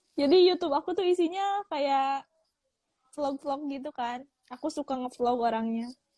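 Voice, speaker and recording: Her voice is high in pitch with a dark, mellow tone and ordinary pitch variation. The woman speaks at a moderate pace in a dry, close sound with no echo. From West Java, Sundanese. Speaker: worker abroad, vlogger. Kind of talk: casual chat. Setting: Instagram live video call.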